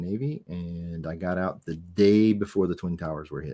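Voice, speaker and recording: A man with an American accent, a very deep, low pitch, a dark, mellow tone, ordinary pitch variation and a moderate pace. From US South, Miami, Florida. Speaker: navy veteran. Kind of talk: casual interview.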